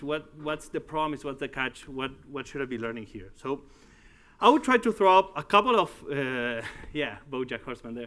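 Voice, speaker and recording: A man with a Uruguayan accent talks at a moderate pace with lively intonation. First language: Spanish. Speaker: tech company executive and conference speaker. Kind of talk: tech conference talk. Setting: stage with audience. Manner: halting. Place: hall.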